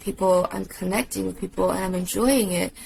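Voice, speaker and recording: A woman at a medium pitch speaks with noticeable background noise. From China, moved to US at ten. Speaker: tattoo artist. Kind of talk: casual chat.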